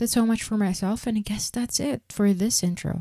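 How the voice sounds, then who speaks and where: The voice has a dark, mellow tone. The sound is dry and close, with no echo. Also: woman, very clean recording, silent background. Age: 20s. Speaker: podcast host, graduate student. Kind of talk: casual monologue. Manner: animated.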